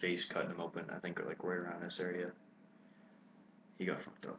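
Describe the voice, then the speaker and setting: A man is talking. His voice sits very deep and low. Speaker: wrestling YouTuber. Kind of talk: casual video commentary recap. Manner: halting, stumbling over words.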